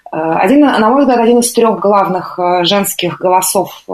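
Fairly slow speech from a woman of medium pitch with ordinary pitch variation. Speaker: radio host. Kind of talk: radio music show presenting. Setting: live radio broadcast. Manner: calm, quiet.

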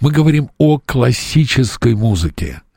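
Somewhat breathy, a man speaks at a very slow pace with lively intonation. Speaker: radio host. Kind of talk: radio interview.

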